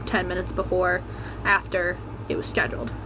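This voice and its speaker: A soft-spoken woman is heard with audible room echo and noticeable background noise. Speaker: vlogger. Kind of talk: personal testimony vlog. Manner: quiet, speaking softly.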